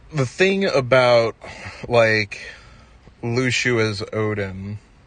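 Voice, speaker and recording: Over noticeable background noise, a man talks at a very slow pace. His pitch is medium and his intonation is lively. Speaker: gaming theory streamer. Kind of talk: livestream presentation of fan theory. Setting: livestream with chat. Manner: halting, many fillers and restarts.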